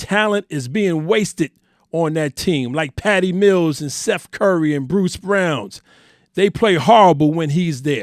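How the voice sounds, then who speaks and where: A man talks fairly slowly at a high pitch in a New York accent. The recording is very clean, with a silent background and a dry, close sound with no echo. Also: ordinary pitch variation. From Harlem, New York. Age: 50s. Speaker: sports podcast host. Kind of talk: sports opinion podcast talk.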